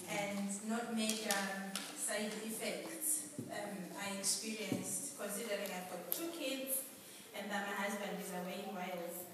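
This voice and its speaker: A woman's voice with audible room echo and loud background noise. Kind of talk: testimony address to congregation. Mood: grateful, earnest. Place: church. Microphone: camera far.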